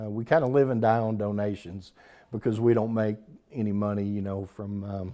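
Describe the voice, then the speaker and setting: With an American accent, a man of fairly low pitch talks in a dark, mellow tone and fairly even intonation. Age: 60s. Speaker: dental clinic ministry leader. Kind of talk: interview. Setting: on location at a church.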